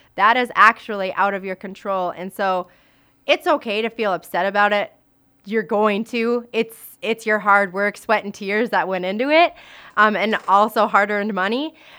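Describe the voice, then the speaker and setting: In a very clean recording with a silent background, a woman with an Upper Midwest accent speaks at a moderate pace, her medium pitch bright and sharp in tone with ordinary variation. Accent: Upper Midwest American. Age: 20s. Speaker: teacher and suicide prevention speaker. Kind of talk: interview.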